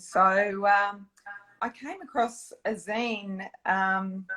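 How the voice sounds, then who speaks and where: A woman with an Australian accent and a medium pitch. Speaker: dietitian and zine creator. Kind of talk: interview.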